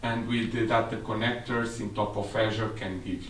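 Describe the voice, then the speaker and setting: A man speaks at a fairly slow pace in a Portuguese accent. His pitch is fairly low, and the room echo is audible. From Portugal. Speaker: technical specialist. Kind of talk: seminar presentation.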